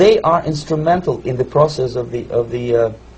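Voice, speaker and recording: Russian accent from a man, fairly high in pitch, at a moderate pace. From Russia (Moscow suburb). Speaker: former KGB officer, defector. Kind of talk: interview answer.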